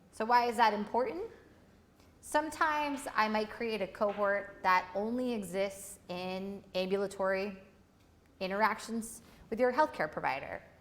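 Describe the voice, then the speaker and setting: Ordinary pitch variation with audible room echo. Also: woman, fairly high pitch for a woman, moderate pace. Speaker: workshop instructor. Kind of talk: lecture.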